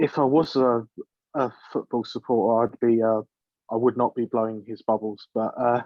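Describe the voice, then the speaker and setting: At a moderate pace, a man talks in a medium-pitched voice with monotone, flat intonation. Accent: English. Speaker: panel guest. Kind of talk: casual chat.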